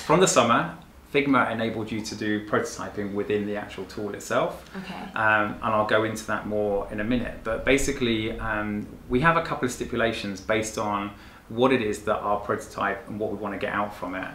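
Fairly quick and fairly low-pitched, a man talks with ordinary pitch variation. Room echo is audible, along with light background noise. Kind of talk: interview answer. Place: office.

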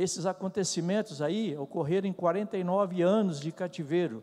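Against a quiet background, a man with a dark, mellow tone and a high pitch speaks at a fairly slow pace with ordinary pitch variation. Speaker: church member. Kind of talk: group discussion comment. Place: church. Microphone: podium.

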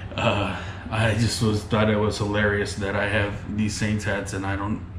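A man's fairly low-pitched voice at a moderate pace, with light background noise and audible room echo. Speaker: vlogger. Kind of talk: casual vlog chat. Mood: amused, exasperated storytelling. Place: home room. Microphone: phone near.

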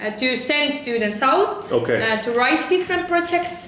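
Light background noise and audible room echo around a woman's voice. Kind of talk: interview answer. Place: office. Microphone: camera far.

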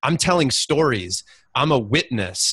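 A man with a bright, sharp tone at a moderate pace, dry sound with no echo over a quiet background. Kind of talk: heartfelt group call talk. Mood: warm, grateful, sincere. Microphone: video call.

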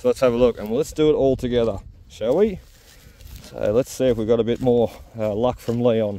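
In an Australian accent, a man with a dark, mellow tone and medium pitch talks at a fairly quick pace with ordinary pitch variation and long, frequent pauses, in a dry sound with no echo. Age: 30s. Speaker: metal detecting YouTuber. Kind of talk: casual vlog commentary; casual vlog chat. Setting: outdoors. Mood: reflective, pleased. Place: open country. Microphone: phone near.

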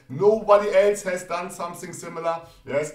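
Noticeable background noise behind a man speaking. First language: not English. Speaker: trading educator. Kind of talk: tutorial. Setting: screen-share video on live chart. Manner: repeats 'yes' often, explanatory.

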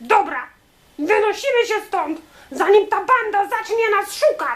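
A put-on character voice with very wide pitch swings, at a moderate pace. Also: woman, extremely high pitch for a woman. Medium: read story. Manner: commanding.

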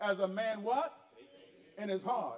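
A man speaks in a high voice with an animated tone. His pace is moderate. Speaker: guest preacher. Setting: church. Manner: animated, call-and-response preaching.

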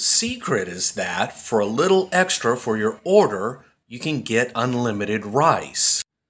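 A man speaks at a medium pitch and a fairly slow pace, with hardly any pauses, on a very clean recording with a silent background. His pitch swings very widely, and his loudness rises and falls a lot. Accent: American. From United States. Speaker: food reviewer. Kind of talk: dubbed voice-over.

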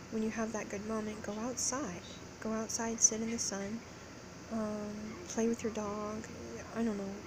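A woman speaks over noticeable background noise. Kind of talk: casual vlog chat. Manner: slow, low, drowsy exhausted voice. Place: home room. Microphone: phone near.

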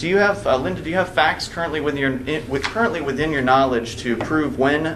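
Noticeable background noise sits under a man's voice, whose pitch varies in an ordinary way. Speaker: activist defendant; witness. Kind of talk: courtroom testimony. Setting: courtroom. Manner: formal. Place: hall. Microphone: camera far.

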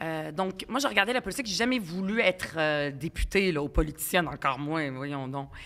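A woman speaks with an Arabic accent. Her pitch makes very wide swings. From Quebec, arrived at 10 from Lebanon, Palestinian family. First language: Arabic (speaking French). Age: 40s. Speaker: provincial politician. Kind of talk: podcast interview. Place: studio. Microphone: studio mic.

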